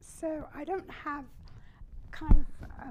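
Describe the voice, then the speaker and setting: A woman's dark, mellow voice at a fairly slow pace, with audible echo from the room. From Germany. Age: 90s. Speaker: Holocaust survivor. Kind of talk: fireside chat. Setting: stage with audience.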